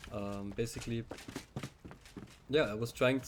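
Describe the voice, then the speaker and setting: Over noticeable background noise, a man with a German accent speaks at a medium pitch. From German-speaking Europe. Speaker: gaming YouTuber. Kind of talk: game walkthrough narration. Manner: hesitant, many fillers. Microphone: recording quiet.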